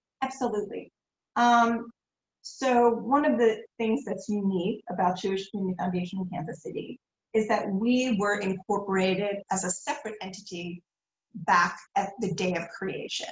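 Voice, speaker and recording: A woman speaks at a moderate pace and medium pitch. Her voice is somewhat breathy, with ordinary pitch variation. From Philadelphia. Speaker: nonprofit foundation executive. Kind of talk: interview.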